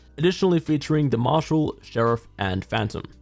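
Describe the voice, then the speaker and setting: Music plays in the background. A man talks very fast with ordinary pitch variation. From Australia. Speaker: gaming YouTuber. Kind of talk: product review narration.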